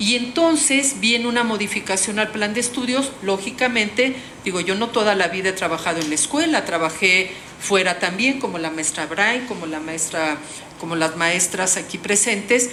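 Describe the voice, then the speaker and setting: Amid noticeable background noise and audible room echo, a woman speaks at a moderate pace with lively intonation. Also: medium pitch for a woman. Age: 60s. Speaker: social work professor. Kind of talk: panel talk. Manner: halting.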